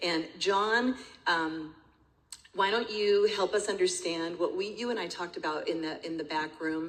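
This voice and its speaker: In an American accent, a woman talks at a moderate pace with ordinary pitch variation, and audible room echo surrounds her voice. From California. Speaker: master of ceremonies and speaker. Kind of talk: emceeing a conference.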